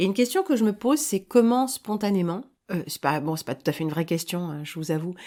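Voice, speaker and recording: The woman's voice sits at a medium pitch with ordinary pitch variation, in a very clean recording with a silent background. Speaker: online commentator. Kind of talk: spoken editorial monologue. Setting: seated, solo recording. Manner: calm, measured; hesitant, repeats words.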